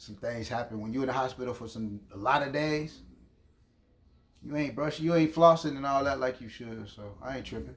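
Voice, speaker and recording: A man's normal speaking voice with an American accent, medium pitch and ordinary pitch variation, at a fairly quick pace with big swings in loudness. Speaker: podcast host. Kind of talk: casual chat.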